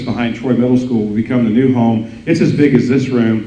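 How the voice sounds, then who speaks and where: Medium-pitched male speech at a moderate pace, with audible room echo and noticeable background noise. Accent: American. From mid-Missouri. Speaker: school district superintendent. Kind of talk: speech to business audience. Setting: breakfast event with audience. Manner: halting, many fillers.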